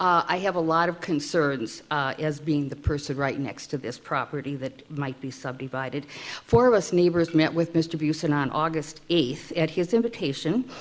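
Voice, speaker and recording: A woman's very deep, low voice with lively intonation and hardly any pauses, over noticeable background noise. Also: moderate pace. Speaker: resident speaking at public hearing. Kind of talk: public testimony. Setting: city council meeting.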